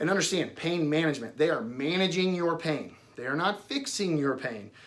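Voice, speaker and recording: Audible room echo surrounds a man speaking at a fairly high pitch with lively intonation. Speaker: doctor giving patient education. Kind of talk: informal explanatory talk at a whiteboard. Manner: fast.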